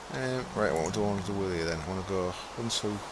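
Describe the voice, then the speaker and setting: Over noticeable background noise, a man with an East Yorkshire accent talks at a fairly quick pace in a fairly low pitch. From East Yorkshire, near Hull. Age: 30s. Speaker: gamer streamer. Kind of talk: live stream gameplay commentary. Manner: laid back.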